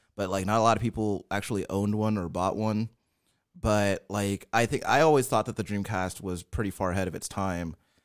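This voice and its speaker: On a very clean recording with a silent background, a man with a normal speaking voice talks at a fairly quick pace with a fairly low pitch and fairly even intonation. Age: 30s. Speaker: podcast host. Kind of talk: casual banter.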